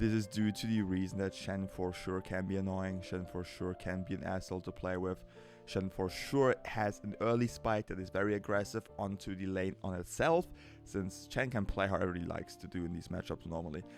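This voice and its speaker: With music in the background, a man with a strong German accent talks at a fairly quick pace in a very deep, low voice with ordinary pitch variation. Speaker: League of Legends coach. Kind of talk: game coaching commentary. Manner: casual.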